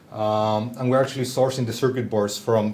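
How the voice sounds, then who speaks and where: Here a man speaks at a fairly quick pace with a Spanish accent. His pitch is medium. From southern Chile. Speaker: company founder, bassist. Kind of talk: presentation talk.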